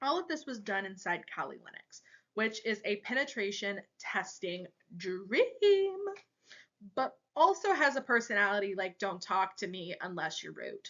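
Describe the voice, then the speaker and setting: A woman talks at a fairly slow pace, her loudness swinging widely. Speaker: cybersecurity student. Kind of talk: class presentation. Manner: casual, joking.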